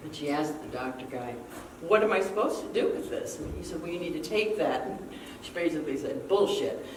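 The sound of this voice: A low-pitched woman at a fairly quick pace, with audible room echo. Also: lively intonation.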